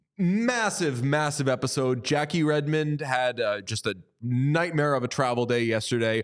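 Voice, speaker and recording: A man with a plain, everyday voice and a fairly high pitch talks at a moderate pace with lively intonation and hardly any pauses. His loudness stays very even on a very clean recording with a silent background. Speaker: hockey podcast host. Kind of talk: casual chat.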